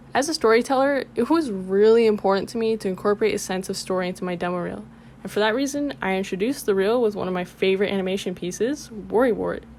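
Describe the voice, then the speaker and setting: A woman at medium pitch speaks at a very fast pace with hardly any pauses and ordinary pitch variation. Noticeable background noise runs underneath. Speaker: motion graphics artist and illustrator. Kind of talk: portfolio presentation narration.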